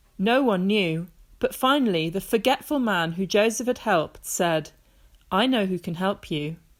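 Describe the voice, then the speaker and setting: A woman with an ordinary speaking voice, lively intonation and a moderate pace. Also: medium pitch for a woman, very clean recording, silent background. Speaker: grandmother reading a Bible story to children. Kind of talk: children's Bible story reading, bedtime reading.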